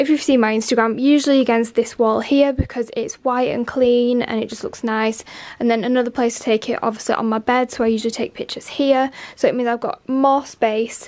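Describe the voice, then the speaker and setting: A woman's high-pitched voice at a fairly quick pace, with fairly even intonation. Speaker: lifestyle vlogger. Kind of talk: casual vlog chat. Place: home room. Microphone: phone near.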